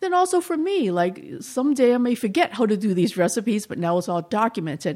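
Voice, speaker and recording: A woman with a slight Boston accent, a dark, mellow tone and very wide pitch swings, at a fairly quick pace. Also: fairly high pitch for a woman. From Boston, Chinatown. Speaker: cooking teacher. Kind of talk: casual interview.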